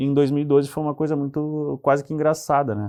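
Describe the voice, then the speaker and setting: A dark, mellow tone is heard against a quiet background. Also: man. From southern Brazil, Pelotas (Rio Grande do Sul). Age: 40s. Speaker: city councillor. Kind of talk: TV interview.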